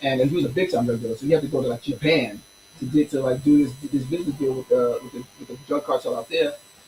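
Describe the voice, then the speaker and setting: Talking very fast, a man with a fairly high pitch shows big swings in loudness amid noticeable background noise. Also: ordinary pitch variation. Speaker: teacher and musician. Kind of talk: interview. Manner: animated.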